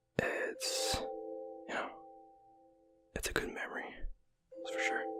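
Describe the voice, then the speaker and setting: Someone whispers at a moderate pace over music in the background. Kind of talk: ASMR casual gaming talk. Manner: whispered.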